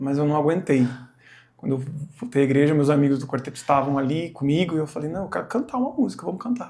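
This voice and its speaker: The speech comes at a very fast pace. Its intonation is lively. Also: man, fairly high pitch for a man. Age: 40s. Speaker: church singer sharing testimony. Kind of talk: testimony.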